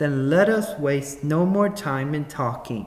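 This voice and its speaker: In a put-on character voice, a man with a fairly high pitch and a gentle tone talks at a fairly slow pace. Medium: read story. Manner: gentle, earnest.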